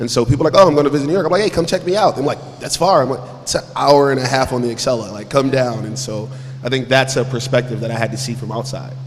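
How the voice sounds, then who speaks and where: Over noticeable background noise, a man with an American accent talks very fast at a medium pitch with ordinary pitch variation. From Philadelphia. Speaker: panelist. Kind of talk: panel discussion.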